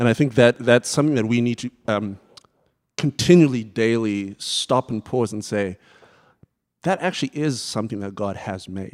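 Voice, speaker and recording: A man with a Southern African accent talks at a moderate pace and medium pitch, with ordinary pitch variation and a dry, close sound with no echo. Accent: British-sounding Southern African. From Zimbabwe. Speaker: church music director. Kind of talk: panel discussion.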